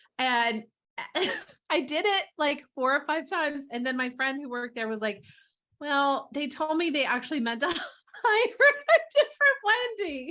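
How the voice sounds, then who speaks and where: A woman's raised, projected voice at a high pitch with very wide pitch swings, a moderate pace and long, frequent pauses. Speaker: TV comedy writer. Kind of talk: casual interview chat. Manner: halting, filler-heavy.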